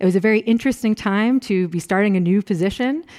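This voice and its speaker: This woman speaks very fast in an American accent. Her pitch varies in an ordinary way. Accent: American, noticeable to German audience. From US Northeast, Rochester, New York. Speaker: professor. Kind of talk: lecture.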